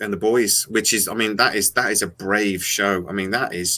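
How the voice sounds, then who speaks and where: In an American accent, a man speaks at a moderate pace with a fairly low pitch, a bright, sharp tone and fairly even intonation, on a very clean recording with a silent background. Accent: English accent with slight American twangs. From England. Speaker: sci-fi channel host. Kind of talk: casual chat. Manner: halting, many fillers and repeats.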